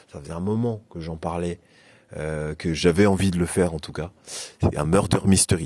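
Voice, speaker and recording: Moderate pace, ordinary pitch variation and vocal fry in a man's very deep, low voice. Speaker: youth worker / vlogger. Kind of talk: casual vlog. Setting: indoor swimming pool building. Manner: hesitant, many fillers.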